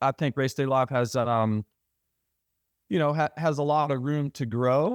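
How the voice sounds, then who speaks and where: This man has a fairly high pitch, recorded with a dry, close sound and no echo. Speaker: retired motocross racer and broadcaster. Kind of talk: casual chat. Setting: podcast. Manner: flat.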